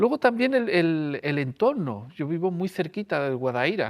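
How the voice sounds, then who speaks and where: A man with an unremarkable speaking voice talks at a fairly slow pace and a fairly high pitch. The recording is very clean, with a silent background. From Andalusia, Seville area. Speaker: storyteller. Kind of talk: interview.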